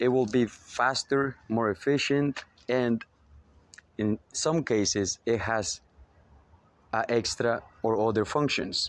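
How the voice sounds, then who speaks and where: A man's medium-pitched voice with a slight Spanish accent, very slow and marked by long, frequent pauses, with very even loudness and fairly even intonation. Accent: slight Spanish accent, rusty English. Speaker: spiritual motivational speaker. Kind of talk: spiritual monologue. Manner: hesitant, many fillers.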